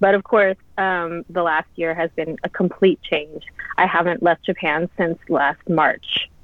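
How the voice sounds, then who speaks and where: A woman's plain, everyday voice, fairly low in pitch, with an American accent, fairly even intonation and a fairly slow pace. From US South, Louisiana. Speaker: food and drink writer. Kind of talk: casual interview. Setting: video call.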